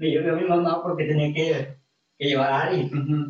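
A man with a normal speaking voice talks at a fairly slow pace, his pitch fairly high and his intonation fairly even. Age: 20s. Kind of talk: casual interview chat.

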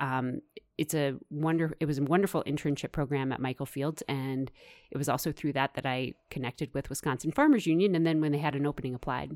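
Speaking at a very fast pace, a woman with a Midwestern US accent has very deep, low pitch and fairly even intonation, in a very clean recording with a silent background. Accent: General American, Midwestern. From US Midwest, suburbs of Kansas City. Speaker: farm policy advocate. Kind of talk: interview. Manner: halting.

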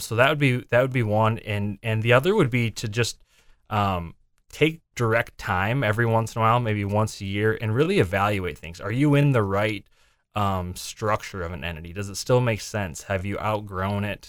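This man has an ordinary speaking voice with an American accent, a fairly low pitch and ordinary pitch variation. He talks at a moderate pace on a very clean recording with a silent background. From US Midwest, southwest Minnesota. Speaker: accountant. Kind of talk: interview. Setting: studio.

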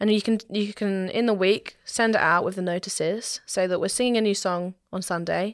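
A woman with medium pitch speaks at a moderate pace. Her intonation is fairly even, with hardly any pauses. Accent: southern English. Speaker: trained singer. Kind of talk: casual chat.

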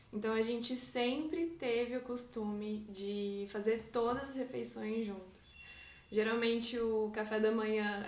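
A woman at a fairly high pitch and fairly slow pace, with fairly even intonation, audible room echo and noticeable background noise. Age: 20s. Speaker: artist. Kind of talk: casual faith conversation.

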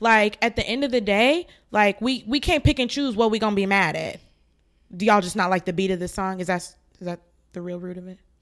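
In an ordinary speaking voice, a woman talks at a fairly quick pace with ordinary pitch variation and big swings in loudness. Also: medium pitch for a woman, very clean recording, silent background. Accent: American. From New Jersey, US. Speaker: podcast co-host. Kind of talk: casual chat.

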